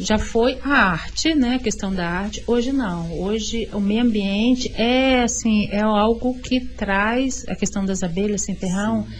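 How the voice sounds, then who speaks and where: Very slow speech in a woman's fairly high voice, its pitch varying in an ordinary way. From Vitória, Espírito Santo, Brazil. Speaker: visual artist, cultural space founder. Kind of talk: radio interview.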